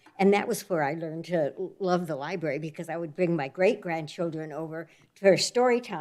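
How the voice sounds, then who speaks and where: A woman with an American accent and a fairly low voice, an unremarkable speaking voice at a fairly quick pace with ordinary pitch variation. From US West Coast (Oregon, Northern California). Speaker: new library board member. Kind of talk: self-introduction at a public board meeting. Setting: city library board meeting.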